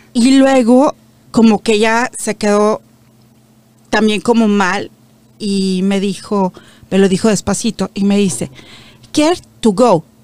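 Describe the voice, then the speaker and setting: A woman speaks at a very slow pace with long, frequent pauses. Her pitch varies in an ordinary way. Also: medium pitch for a woman, dry, close sound with no echo. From Mexico. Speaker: media founder. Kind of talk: interview.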